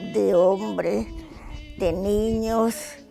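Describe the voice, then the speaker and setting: Music plays behind a woman as she speaks. Her pitch swings very widely. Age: 80s+. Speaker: retired factory seamstress. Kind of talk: interview answer.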